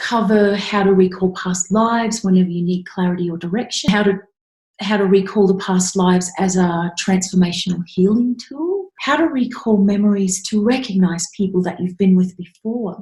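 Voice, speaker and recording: A woman's dark, mellow, somewhat breathy voice at a medium pitch, with a moderate pace and fairly even intonation. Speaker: past life regression therapist and meditation guide. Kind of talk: casual talk to camera, introduction to a meditation.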